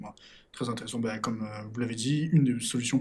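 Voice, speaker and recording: This man talks fairly quickly in a somewhat breathy voice, with ordinary pitch variation. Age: young. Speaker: podcast host. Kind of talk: interview.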